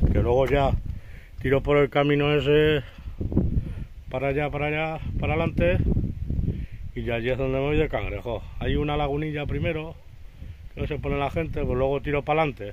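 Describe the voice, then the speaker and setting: A fairly quick pace with ordinary pitch variation, a dry sound with no echo and noticeable background noise. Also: man. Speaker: local countryside vlogger. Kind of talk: casual vlog chat. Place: open country. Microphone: phone near.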